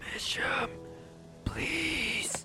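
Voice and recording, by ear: Whispering in a put-on character voice, a man speaks at a very slow pace over faint music in the background.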